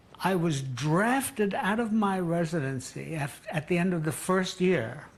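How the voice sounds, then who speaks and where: Against noticeable background noise, a man with an American accent speaks at a fairly slow pace in a high voice, his intonation lively and his loudness very even. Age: 80s+. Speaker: psychiatrist. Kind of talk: deposition testimony.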